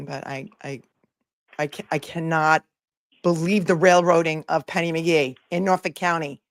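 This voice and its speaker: A woman puts on a raspy character voice, fairly low in pitch, at a moderate pace with fairly even intonation and big swings in loudness. The sound is dry and close with no echo. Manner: indignant.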